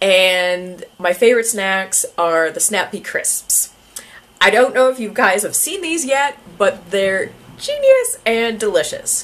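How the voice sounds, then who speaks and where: With a Canadian accent, a woman speaks very slowly at a fairly high pitch with lively intonation over noticeable background noise. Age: 30s. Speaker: YouTuber. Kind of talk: casual vlog talk. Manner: hesitant, many fillers.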